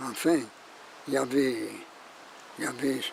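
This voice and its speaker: A man's fairly high-pitched voice at a very slow pace, over noticeable background noise. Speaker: retired schoolteacher. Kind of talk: documentary interview, reminiscence.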